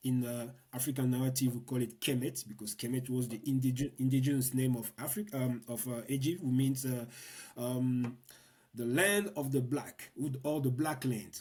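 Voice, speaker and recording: A man with a Congolese accent speaks at a moderate pace and medium pitch, somewhat breathy, with ordinary pitch variation. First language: Lingala. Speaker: political activist and educator. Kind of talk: interview conversation. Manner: halting, many repetitions.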